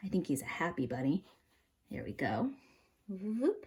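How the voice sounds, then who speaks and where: Her tone dark and mellow, a woman speaks with vocal fry. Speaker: art teacher. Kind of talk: tutorial. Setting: home kitchen. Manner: animated.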